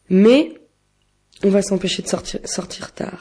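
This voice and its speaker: Pitch varies in an ordinary way, and the tone is dark and mellow. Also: woman. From western France (Vendée, Nantes). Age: 20s. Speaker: student and queer activist. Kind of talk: interview. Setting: pre-recorded interview.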